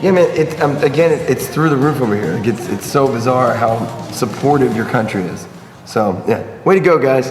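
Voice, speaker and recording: With music in the background and audible room echo, a man with an American accent speaks at a moderate pace and a medium pitch, his intonation lively and his tone animated. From United States. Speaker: touring band musician. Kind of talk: casual interview. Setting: music venue before a show.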